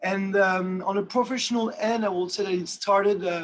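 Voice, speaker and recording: Someone speaks at a moderate pace with a French accent. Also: man. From France. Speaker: watch industry executive. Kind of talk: webinar interview. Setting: video call. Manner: halting, many fillers.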